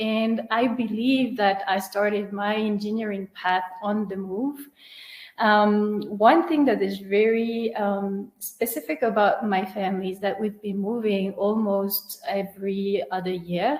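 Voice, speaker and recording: In a French accent, a woman speaks at a fairly slow pace. Her medium pitch shows ordinary variation. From France. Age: 30s. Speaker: engineer and founder. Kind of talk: webinar talk. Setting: online webinar.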